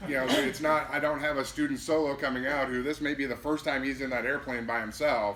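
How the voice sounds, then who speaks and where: The speaker talks at a fairly quick pace with an American accent. Noticeable background noise is present. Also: man. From Minnesota. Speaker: air traffic manager. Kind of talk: presentation to pilot club. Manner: loud; fast.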